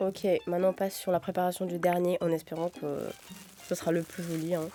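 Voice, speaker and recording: Over music in the background, a woman speaks at a fairly quick pace and a medium pitch. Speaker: cooking youtuber. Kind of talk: cooking tutorial. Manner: casual, chatty.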